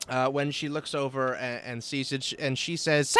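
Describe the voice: It is plain reading aloud, delivered with fairly even intonation.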